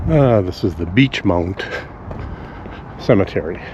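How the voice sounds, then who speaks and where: A man with a Canadian accent at a fairly slow pace, ordinary pitch variation, noticeable background noise behind him. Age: 60s. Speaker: vlogger. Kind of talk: walk-and-talk vlog. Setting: outdoors, walking. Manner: casual, thinking aloud.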